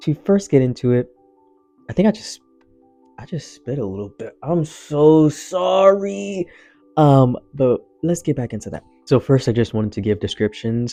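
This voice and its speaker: Music plays behind a man at a medium pitch who shows very wide pitch swings and big swings in loudness. He keeps a moderate pace with long, frequent pauses. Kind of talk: casual talk to camera.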